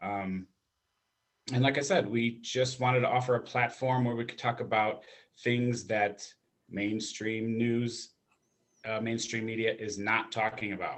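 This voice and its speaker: With an American accent, a man of medium pitch speaks at a fairly slow pace in a monotone, flat intonation, leaving long, frequent pauses. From Chicago, Illinois. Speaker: family counselor and channel co-host. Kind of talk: casual chat. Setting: live stream.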